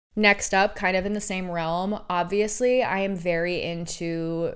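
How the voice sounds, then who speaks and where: Audible room echo surrounds a woman as she talks. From Oregon, US. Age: 20s. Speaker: podcast host. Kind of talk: casual monologue. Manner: animated.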